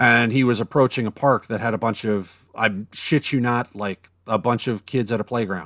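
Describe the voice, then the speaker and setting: A man talks in an ordinary speaking voice at medium pitch, with ordinary pitch variation and a moderate pace. The sound is dry and close with no echo over a quiet background. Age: 40s. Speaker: podcast co-host. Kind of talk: casual chat.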